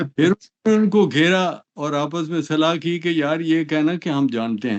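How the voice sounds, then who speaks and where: Ordinary pitch variation runs through a normal speaking voice. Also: man. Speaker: political analyst. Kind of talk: interview.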